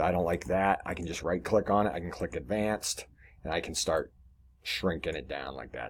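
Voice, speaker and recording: A man with a very deep, low voice and vocal fry talks at a fairly quick pace, with ordinary pitch variation and big swings in loudness, on a very clean recording with a silent background. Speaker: web design tutorial presenter. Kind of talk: screen-share tutorial. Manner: fast; casual with pauses.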